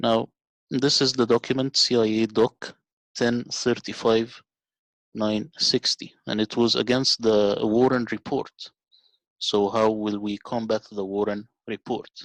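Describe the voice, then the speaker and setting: A man's medium-pitched voice with a non-native accent, fairly slow and monotone in flat intonation. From Middle East. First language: not English. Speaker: video narrator. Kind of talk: documentary narration.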